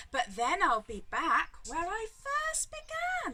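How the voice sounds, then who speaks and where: A woman's put-on character voice, extremely high in pitch with very wide pitch swings, at a fairly slow pace. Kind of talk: bedtime story. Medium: read story.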